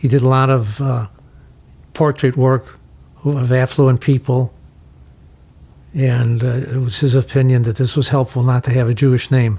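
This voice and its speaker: A man with an American accent speaks at a moderate pace and medium pitch, somewhat breathy. His tone is dark and mellow, his intonation fairly even. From Chicago, Illinois. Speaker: photographer. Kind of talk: interview answer.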